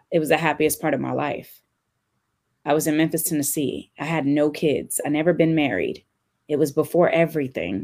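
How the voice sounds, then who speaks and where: The woman's voice is very deep and low, with vocal fry and ordinary pitch variation. She keeps a moderate pace on a very clean recording with a silent background. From California. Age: 30s. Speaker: DJ. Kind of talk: casual chat.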